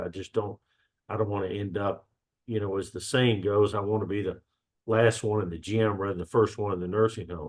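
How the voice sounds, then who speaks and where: A man's fairly low voice with a Southern US accent. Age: 60s. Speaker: gym member sharing health story. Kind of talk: podcast interview. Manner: halting, many fillers.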